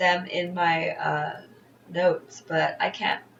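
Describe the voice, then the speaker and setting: A woman of medium pitch speaks with noticeable background noise behind her. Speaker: internet radio DJ. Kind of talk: casual radio show sign-off. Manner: halting, stumbling over words.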